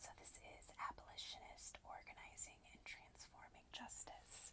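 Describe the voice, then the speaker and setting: A woman whispering at a fairly slow pace. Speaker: booktuber and ASMR creator. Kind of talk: casual talk to camera, book chat. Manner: whispered.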